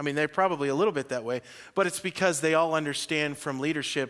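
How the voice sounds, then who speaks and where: A man with a fairly high pitch talks in an animated tone, his pitch varying in an ordinary way against a quiet background. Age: 40s. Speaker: pastor. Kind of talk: sermon. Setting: church. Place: church.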